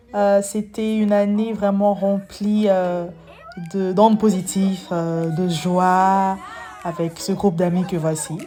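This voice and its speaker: Over music in the background, a woman speaks very slowly at a medium pitch with ordinary pitch variation. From Gabon, Libreville. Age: 20s. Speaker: vlogger. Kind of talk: vlog narration.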